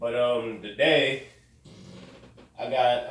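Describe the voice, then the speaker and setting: A man speaks with audible room echo around him. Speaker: podcast host. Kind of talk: casual chat. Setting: room with echo.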